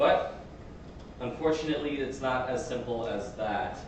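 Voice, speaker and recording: A man talks amid noticeable background noise, with audible room echo in the space. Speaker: student presenter. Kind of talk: lecture. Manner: halting.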